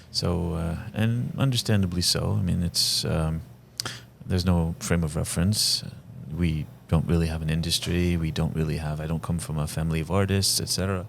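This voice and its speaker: A man with a very deep, low voice speaks in an Arabic accent at a moderate pace, with ordinary pitch variation and noticeable background noise. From Lebanon (Saida). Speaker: film director and actor. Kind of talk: interview conversation. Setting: venue during a film screening.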